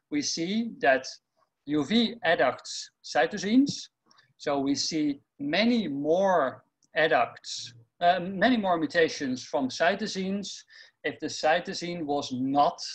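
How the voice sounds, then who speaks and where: Over a quiet background, a man with a high pitch speaks at a very slow pace with lively intonation. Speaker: researcher presenting tutorial. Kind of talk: lecture. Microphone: webcam.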